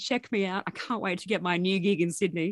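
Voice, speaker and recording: A woman speaks in an Australian accent. The background is quiet. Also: dry, close sound with no echo. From rural New South Wales, Australia (Gunnedah, Armidale). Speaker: journalist and news editor. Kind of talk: interview.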